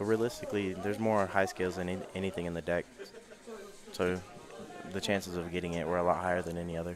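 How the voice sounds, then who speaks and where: A man speaks very fast in a very deep, low pitch with monotone, flat intonation, leaving long, frequent pauses. Noticeable background noise runs underneath. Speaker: card game tournament commentator. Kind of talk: live commentary. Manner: loud.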